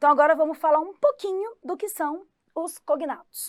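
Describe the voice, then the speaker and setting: A woman speaks at a high pitch with an animated tone and a moderate pace. The sound is dry and close, with no echo. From Goiás, Brazil. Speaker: English teacher. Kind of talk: online exam-prep lesson.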